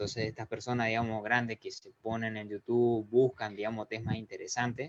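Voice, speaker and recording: Fairly quick pace and monotone, flat intonation from a man. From Argentina. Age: 20s. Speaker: math YouTube teacher. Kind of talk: interview.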